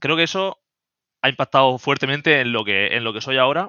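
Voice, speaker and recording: A man talks at a moderate pace in an ordinary speaking voice. His pitch is medium. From Spain, Murcia. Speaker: AI project manager and online learning creator. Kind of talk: interview conversation.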